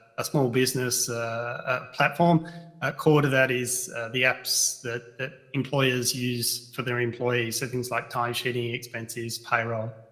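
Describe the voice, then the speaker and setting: Music plays in the background as a man speaks at a fairly slow pace. His intonation stays monotone and flat. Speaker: technology executive. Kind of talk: panel self-introduction. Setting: video call into live event. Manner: loud.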